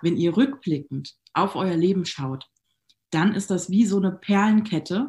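A woman speaks at a fairly slow pace in a medium pitch, her dark, mellow tone somewhat breathy and her pitch varying in an ordinary way. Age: 30s. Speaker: network marketing entrepreneur. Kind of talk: casual interview.

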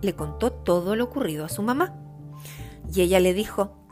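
The intonation here is lively. It belongs to a natural reading voice.

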